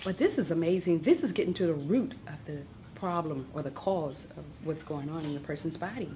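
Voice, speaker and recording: With lively intonation and a fairly low pitch, a woman speaks at a moderate pace. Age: 60s. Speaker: nurse. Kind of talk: testimony. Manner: enthusiastic.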